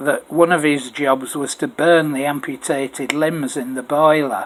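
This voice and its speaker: Over noticeable background noise, a man speaks with a fairly high pitch. His pace is fairly slow and his intonation fairly even. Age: 70s. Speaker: oral history narrator. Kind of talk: oral history recording, partly read aloud. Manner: hesitant, with frequent fillers.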